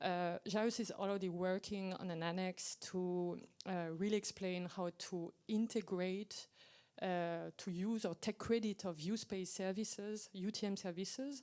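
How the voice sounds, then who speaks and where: A woman with a French accent speaks at a fairly slow pace in a medium pitch, her tone dark and mellow and her intonation fairly even. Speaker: aviation regulator presenting at workshop. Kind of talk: technical Q&A answer. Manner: hesitant with fillers.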